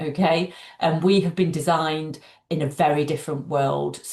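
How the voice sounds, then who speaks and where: The voice belongs to a woman and sounds somewhat breathy. Her pitch variation is ordinary. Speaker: doctor and breathing coach. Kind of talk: interview.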